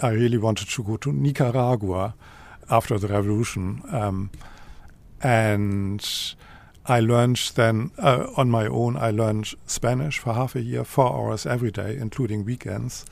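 Here a man speaks with a German accent. His pitch varies in an ordinary way. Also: medium pitch for a man, moderate pace. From Germany, Lower Saxony. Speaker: professor of modern languages. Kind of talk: casual interview.

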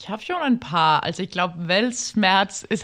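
A woman of medium pitch talks at a fairly slow pace. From Denmark, Copenhagen. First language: Danish (speaking German). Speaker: literary translator. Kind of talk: casual interview. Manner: halting.

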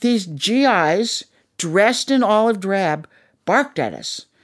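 On a very clean recording with a silent background, a woman with an American accent and vocal fry speaks at a fairly slow pace. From Minnesota. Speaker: puppeteer and puppet designer. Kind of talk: interview storytelling.

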